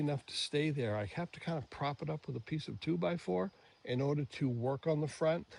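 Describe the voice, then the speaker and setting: A man speaks at a moderate pace with a fairly high, somewhat breathy voice. His pitch swings very widely over a quiet background. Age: 70s. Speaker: DIY product reviewer. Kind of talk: product review tutorial. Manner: casual, many fillers.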